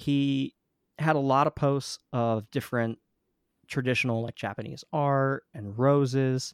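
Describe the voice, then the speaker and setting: Here a man with an American accent speaks at a medium pitch with ordinary pitch variation. The very clean recording has a silent background and a dry, close sound with no echo. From New Jersey. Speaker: musician. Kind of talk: casual chat.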